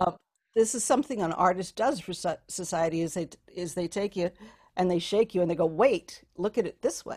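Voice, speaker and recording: In a very clean recording with a silent background and a dry, close sound with no echo, a woman talks in an ordinary speaking voice at a medium pitch and a fairly quick pace, with ordinary pitch variation and big swings in loudness. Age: 60s. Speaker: voice teacher. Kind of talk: casual chat.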